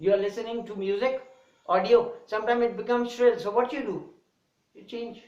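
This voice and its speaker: Extremely high-pitched male voice at a fairly quick pace, with big swings in loudness, fairly even intonation and audible room echo. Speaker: English teacher. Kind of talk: lecture. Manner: fast; varied intonation.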